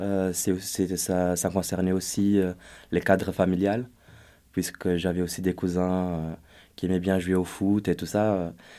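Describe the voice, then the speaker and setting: Speaking at a very slow pace with long, frequent pauses, a man with a very deep, low pitch and a dark, mellow tone keeps a monotone, flat intonation on a very clean recording with a silent background. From Brazil. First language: Portuguese (speaking French). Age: 20s. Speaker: youth volunteer. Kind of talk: panel discussion.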